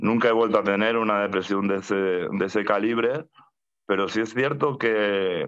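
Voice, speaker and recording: At a moderate pace, a man speaks in a fairly low pitch with very even loudness and fairly even intonation. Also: quiet background. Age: 40s. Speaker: mental health activist. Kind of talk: testimony; personal testimony in webinar. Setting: video call. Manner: halting, with frequent repetitions and fillers. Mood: calm, reflective. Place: home room. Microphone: video call.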